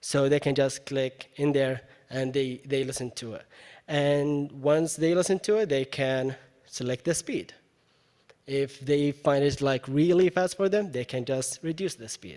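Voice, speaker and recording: Fairly high-pitched male voice with an Arabic accent, dark and mellow in tone, fairly slow, with ordinary pitch variation. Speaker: university educator presenting at a teaching event. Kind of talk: presentation with software demo. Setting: live event with audience. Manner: casual, with many fillers.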